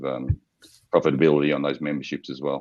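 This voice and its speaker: A man speaks in a very deep, low voice with monotone, flat intonation. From Australia. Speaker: startup founder pitching to investors. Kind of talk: investor Q&A. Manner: hesitant, many fillers.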